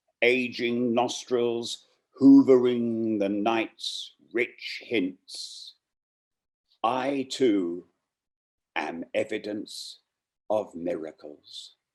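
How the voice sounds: A man at a very slow pace, medium pitch, ordinary pitch variation and a slightly mellow tone.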